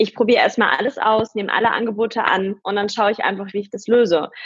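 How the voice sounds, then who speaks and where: Heard in a dry, close sound with no echo, a woman with a normal speaking voice talks at a fairly quick pace, her pitch fairly high with ordinary variation. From Germany, near Paderborn (East Westphalia). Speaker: entrepreneur and podcaster. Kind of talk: interview.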